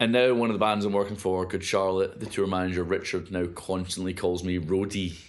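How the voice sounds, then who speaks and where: A man with a fairly low pitch talks at a fairly quick pace with fairly even intonation. Audible room echo surrounds his voice. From Scotland, Hamilton near Glasgow. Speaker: live sound engineer. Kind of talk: casual interview chat.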